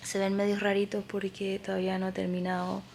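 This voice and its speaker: A woman speaks with noticeable background noise around her. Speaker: crochet designer and vlogger. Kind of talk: casual vlog. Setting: at home. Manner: soft-spoken.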